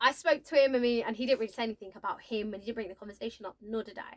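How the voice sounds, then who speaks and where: A woman talks in an animated tone at a high pitch, recorded with a dry, close sound and no echo. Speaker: vlogger. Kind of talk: casual storytelling. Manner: loud.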